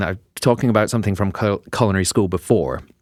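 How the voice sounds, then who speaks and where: A man with a non-native accent on a very clean recording with a silent background. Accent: non-American accent, drops H in herbs. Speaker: podcast co-host. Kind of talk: casual chat.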